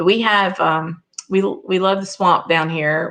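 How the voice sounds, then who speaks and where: Against a quiet background, a woman with a Southern US accent speaks fairly slowly with fairly even intonation. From US South. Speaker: whisky reviewer, guest host of a live show. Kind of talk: live stream chat, reading viewer comments. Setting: live stream with chat.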